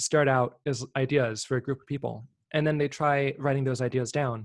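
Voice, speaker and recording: The recording is very clean, with a silent background and a dry, close sound with no echo. A man speaks at a fairly high pitch. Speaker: presenter on effective altruism topics. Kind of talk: informal slide presentation. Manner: fast; hesitant, many fillers.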